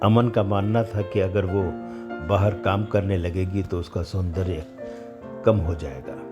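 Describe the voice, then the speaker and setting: A man with a fairly low pitch keeps his intonation fairly even while music plays in the background. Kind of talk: horror story narration.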